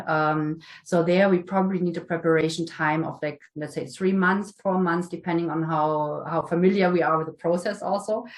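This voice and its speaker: At a moderate pace, a woman speaks in a fairly low pitch with fairly even intonation, and audible room echo surrounds her. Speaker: management consultant. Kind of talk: conference Q&A. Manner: hesitant with fillers.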